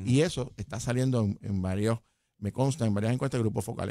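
In a dry sound with no echo and a quiet background, a man speaks in a dark, mellow tone with ordinary pitch variation. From Puerto Rico. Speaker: political analyst. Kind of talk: political analysis chat. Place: studio. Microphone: studio mic.

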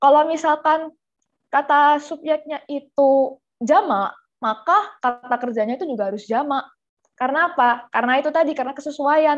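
Pitched high with ordinary variation, a woman speaks at a moderate pace against a quiet background. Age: young. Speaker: tutor. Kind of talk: online class lesson. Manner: casual. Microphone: webcam.

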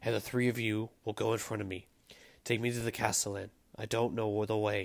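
Putting on a robotic character voice, a man speaks raspy and monotone, flat at a medium pitch and a fairly quick pace. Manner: commanding.

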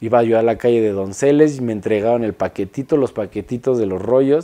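A man speaks with a Mexico City accent in a dark, mellow tone. His pitch varies in an ordinary way against a quiet background. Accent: central Mexican Spanish (Mexico City). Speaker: industrial designer. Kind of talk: interview monologue. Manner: halting, many repetitions and fillers. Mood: relaxed, reflective. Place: studio.

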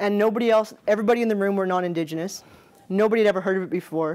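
A woman speaks fast at a medium pitch. Her tone is slightly mellow.

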